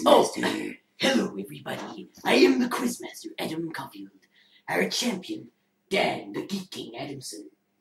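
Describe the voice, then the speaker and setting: In a put-on character voice, a man speaks high and raspy. He keeps a moderate pace. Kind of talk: dramatic announcer. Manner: bombastic.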